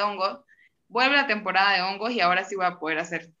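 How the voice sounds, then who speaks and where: A woman talks at a very fast pace. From Venezuela. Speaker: graduate student, linguist. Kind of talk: casual interview chat.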